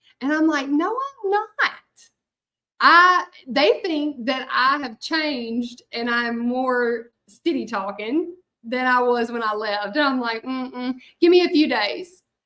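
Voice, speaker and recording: In a Southern US accent, a woman with a high voice speaks very slowly, projecting loudly in a bright, sharp tone. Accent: Southern US accent, noticeable. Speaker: hand-lettering artist. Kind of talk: live craft tutorial chat. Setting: live stream. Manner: chatty, casual.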